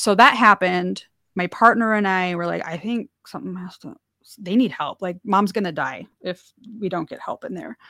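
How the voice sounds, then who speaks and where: A woman speaks at a moderate pace in a medium pitch, with vocal fry, a bright, sharp tone, ordinary pitch variation and big swings in loudness. The recording is very clean with a silent background, and the sound is dry and close with no echo. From North Dakota. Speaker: artist and caregiver. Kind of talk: interview conversation. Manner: casual, laughing.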